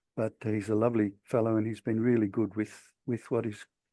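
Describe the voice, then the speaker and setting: Against a quiet background, a man with an Australian accent speaks in a dark, mellow tone. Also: dry, close sound with no echo. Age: 60s. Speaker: author. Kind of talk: talk. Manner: halting.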